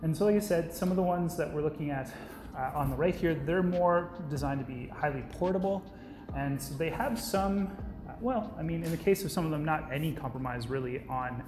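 Music plays behind a man who speaks at a fairly quick pace with ordinary pitch variation. Room echo is audible. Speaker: presenter. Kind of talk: product overview talk. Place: office.

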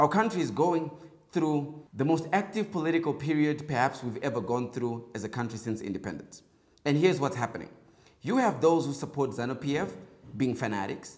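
A man speaks fairly quickly, his intonation lively, with little sound behind him. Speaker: political commentary host. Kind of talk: commentary. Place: studio. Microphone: lapel.

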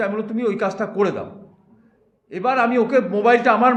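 A man speaks loudly, with ordinary pitch variation. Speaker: councillor's representative. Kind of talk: defensive interview.

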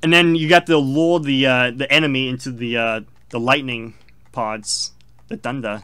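Speaking at a moderate pace, a man with a medium pitch and ordinary pitch variation leaves long, frequent pauses. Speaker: gaming video co-host. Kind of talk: casual chat over gameplay.

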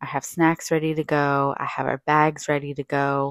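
Against a quiet background, a woman talks at a fairly slow pace in a very deep, low pitch, with a dry sound and no echo. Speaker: mother vlogger. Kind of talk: casual vlog chat. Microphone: phone near.

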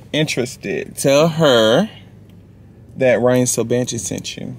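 A man speaks with fairly even intonation. The sound is dry with no echo, and music plays in the background. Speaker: vlogger. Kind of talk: casual vlog chat. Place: car. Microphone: phone near.

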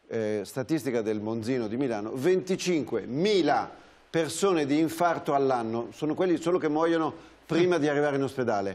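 A man with a plain, everyday voice talks at a moderate pace, his fairly high pitch shaped by lively intonation. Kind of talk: talk show discussion.

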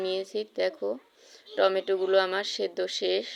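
A woman speaks at a medium pitch. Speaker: cooking vlogger. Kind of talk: cooking tutorial.

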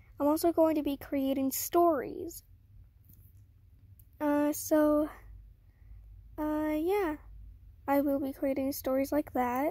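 Speaking at a very slow pace with long, frequent pauses, a woman with a high pitch and a dark, mellow tone sounds shaky, her intonation fairly even, in a dry sound with no echo over a quiet background. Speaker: beginner art channel creator. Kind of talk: casual talk to camera. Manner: shaky, hesitant. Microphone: phone near.

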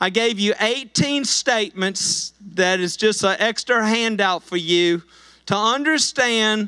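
A man speaks in a raised, projected voice at a fairly slow pace. His tone is bright and sharp, with a quiet background. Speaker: pastor. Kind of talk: sermon. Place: church. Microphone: handheld.

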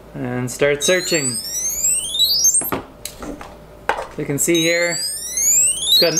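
A man talks very slowly, with music in the background. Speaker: vlogger. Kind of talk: casual vlog chat, product review. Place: home room. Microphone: camera far.

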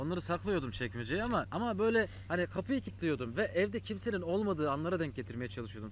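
A man speaks at a very fast pace in a fairly high pitch, his voice somewhat breathy, with a dry sound with no echo and light background noise. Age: 20s. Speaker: YouTuber. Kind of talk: casual chat. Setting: home, with brother. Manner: casual, laughing. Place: waterside.

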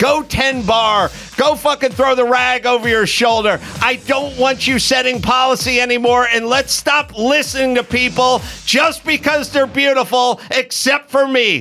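An extremely high-pitched man's raised, projected voice, animated in tone, at a moderate pace and very even loudness, over faint music in the background. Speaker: comedian and podcast host; comedian, podcast host. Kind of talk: comedic rant. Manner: profane, animated. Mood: mocking, irritated. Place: studio. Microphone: studio mic.

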